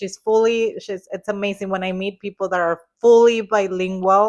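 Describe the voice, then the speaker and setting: A woman with a strong Spanish accent talks with ordinary pitch variation. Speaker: hairdresser, podcast co-host. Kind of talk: casual chat.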